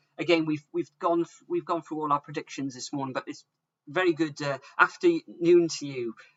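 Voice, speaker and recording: With a Welsh accent, a man talks at a moderate pace. His pitch is high and his intonation lively. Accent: Welsh, some say sounds like Bristol. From South Wales. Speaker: football predictions streamer. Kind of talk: live stream chat. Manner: casual, hesitant with fillers.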